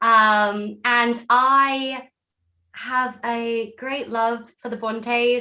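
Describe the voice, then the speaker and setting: A woman with an English accent speaks at a high pitch with a bright, sharp tone and fairly even intonation. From England. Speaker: actor. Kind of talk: self-introduction.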